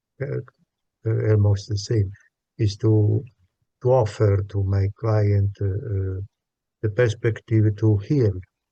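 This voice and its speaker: Very slow, somewhat breathy speech in a dark, mellow tone, with a non-native accent, monotone, flat intonation and long, frequent pauses. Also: man, fairly low pitch for a man. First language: not English. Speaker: psychologist, workshop participant. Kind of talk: group discussion. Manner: halting, many hesitations.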